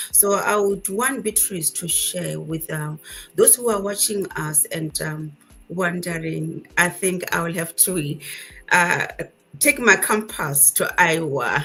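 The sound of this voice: Speaking at a fairly slow pace, a woman has a fairly low, fairly bright voice with a slightly husky edge, vocal fry and ordinary pitch variation.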